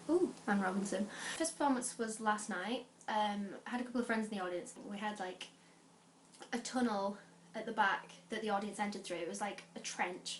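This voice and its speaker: At a moderate pace, a woman talks with ordinary pitch variation. Her pitch is fairly high. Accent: northern English. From northern England, Lancashire (Adlington, near Bolton). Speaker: student and amateur actor, vlogger. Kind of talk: casual vlog chat. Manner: chatty, informal.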